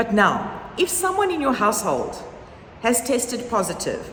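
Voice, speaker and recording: Through noticeable background noise and audible room echo, a woman speaks at a fairly slow pace with lively intonation and a fairly high pitch. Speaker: primary school head. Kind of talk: informational talk to parents. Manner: conversational, informal.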